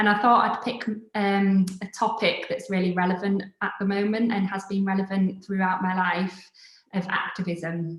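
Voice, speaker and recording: A woman's medium-pitched voice with a Yorkshire accent, monotone, flat intonation and a moderate pace. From northern England, Scarborough, Yorkshire. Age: 30s. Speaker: designer and creative studio founder. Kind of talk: live online talk.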